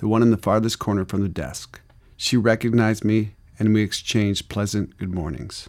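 Someone is reading aloud in a natural voice. The text is delivered as read.

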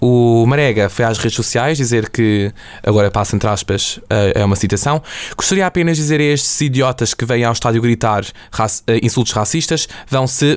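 Delivered at a moderate pace, this is an unremarkable speaking voice with ordinary pitch variation and very even loudness. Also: man. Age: young. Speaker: student podcast host. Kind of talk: casual chat. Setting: studio.

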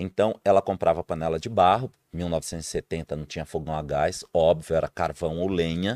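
A man's very deep, low voice at a moderate pace on a very clean recording with a silent background. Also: ordinary pitch variation, dry, close sound with no echo. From Brazil, interior of Pernambuco. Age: 50s. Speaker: cooking show contestant and sales representative. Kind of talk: casual interview chat. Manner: halting, repeats words.

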